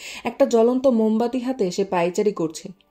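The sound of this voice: An unforced reading voice lets its pitch rise and fall in an ordinary way.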